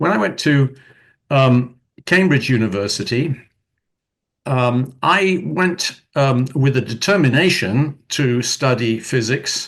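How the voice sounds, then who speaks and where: A man in a British accent, medium in pitch, very slow, with lively intonation and very even loudness. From United Kingdom. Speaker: retired physics professor, author. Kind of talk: interview. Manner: thoughtful, with fillers.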